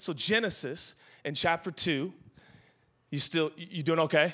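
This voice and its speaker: An animated voice with an American accent moves at a fairly quick pace on a very clean recording with a silent background. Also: man. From Seattle, US Pacific Northwest. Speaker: guest pastor. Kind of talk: sermon. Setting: church with live audience.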